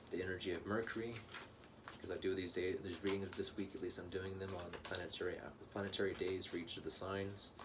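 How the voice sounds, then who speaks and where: A man with a very deep, low pitch speaks very fast. Audible room echo and noticeable background noise accompany him. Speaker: tarot reader. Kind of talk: tarot reading monologue. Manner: animated.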